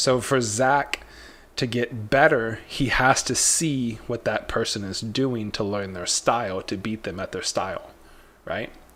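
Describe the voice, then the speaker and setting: At a fairly slow pace, a man talks in a medium pitch with ordinary pitch variation. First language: not Spanish; speaks it slowly. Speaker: trading livestream host. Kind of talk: casual livestream chat. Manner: animated, storytelling.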